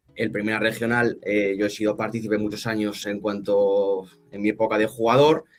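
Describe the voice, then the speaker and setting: This man talks at a moderate pace with a fairly low pitch. His intonation is fairly even. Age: 20s. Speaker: football club representative, former player. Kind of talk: interview. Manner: halting, many repetitions.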